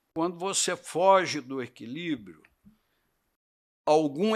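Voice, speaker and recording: The recording is very clean with a silent background as a man speaks at a very slow pace. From Brazil, São Paulo state (Barretos, then São Paulo city). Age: 70s. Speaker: cattle breeder. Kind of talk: podcast interview.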